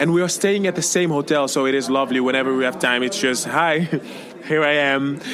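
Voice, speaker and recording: Over noticeable background noise, a man with a French accent speaks fairly quickly in a fairly high voice, with ordinary pitch variation and very even loudness. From Congo, then Netherlands. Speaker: singer, contest entrant. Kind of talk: interview. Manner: animated.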